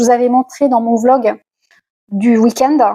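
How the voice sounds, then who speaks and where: A woman's high voice comes through in a dry, close sound with no echo. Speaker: lifestyle vlogger. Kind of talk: casual vlog haul talk. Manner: hesitant, many fillers.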